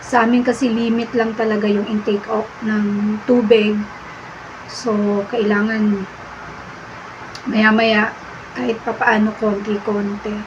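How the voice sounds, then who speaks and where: A woman speaks very slowly at a fairly high pitch in a monotone, flat intonation, with long, frequent pauses, audible room echo, and noticeable background noise. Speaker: dialysis patient vlogger. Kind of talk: casual vlog talk to viewers.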